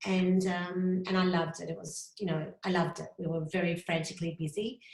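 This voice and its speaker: A woman with a fairly low pitch and a somewhat breathy voice, at a fairly quick pace with flat, monotone intonation in an Australian accent. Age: 50s. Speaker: graphic designer. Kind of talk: interview. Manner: fast.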